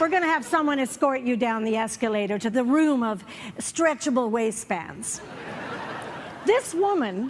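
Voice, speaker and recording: With a Canadian accent, a woman talks at a high pitch with very wide pitch swings over noticeable background noise. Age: 60s. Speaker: comedian. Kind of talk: stand-up. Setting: stage with audience.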